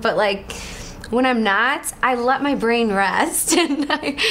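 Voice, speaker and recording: Heard over noticeable background noise and audible room echo, a woman speaks high in pitch with an American accent and ordinary pitch variation. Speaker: reality show contestant. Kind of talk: casual interview.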